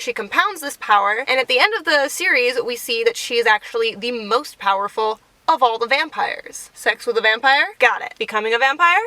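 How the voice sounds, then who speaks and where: A woman's high-pitched voice, fairly quick and lively in intonation, with hardly any pauses. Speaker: booktuber. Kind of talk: video essay monologue. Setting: in a car. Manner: animated; fast.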